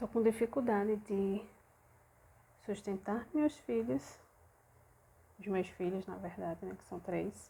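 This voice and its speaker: A soft-spoken woman at a medium pitch talks very slowly with long, frequent pauses, her dark, mellow tone edged with vocal fry, her intonation lively and her loudness swinging widely. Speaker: belly dance teacher and vlogger. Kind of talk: personal vlog, venting. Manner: soft-spoken, speaking quietly.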